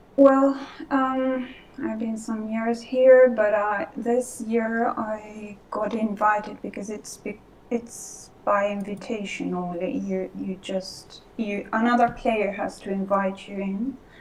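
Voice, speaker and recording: A woman with a non-native accent speaks very slowly in a fairly high pitch with fairly even intonation, her loudness swinging widely over noticeable background noise. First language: Spanish. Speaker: Second Life role player. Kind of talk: casual chat. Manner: halting.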